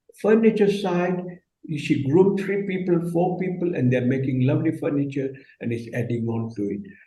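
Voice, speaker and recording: A man's fairly high voice at a moderate pace, lively in intonation, with audible room echo. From Kenya. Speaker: business leader. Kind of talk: panel discussion. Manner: halting.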